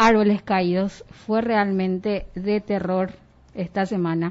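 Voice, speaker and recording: At a fairly slow pace, a woman speaks in a plain, everyday voice. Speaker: radio host. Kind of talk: radio news talk show.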